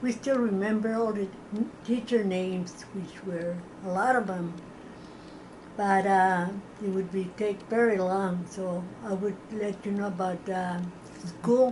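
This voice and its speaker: Long, frequent pauses break up the very slow, fairly evenly intoned speech, with audible room echo. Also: woman. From Texas, San Elizario near El Paso. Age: 80s+. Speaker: oral history interviewee. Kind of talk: oral history interview. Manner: halting.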